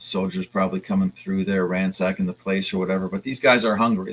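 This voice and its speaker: A man talks at a fairly quick pace in a very deep, low pitch. His intonation is monotone and flat. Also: dry, close sound with no echo. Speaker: comic artist streaming while drawing. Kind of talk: casual live-stream talk while drawing. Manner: halting, many fillers and sentence fragments.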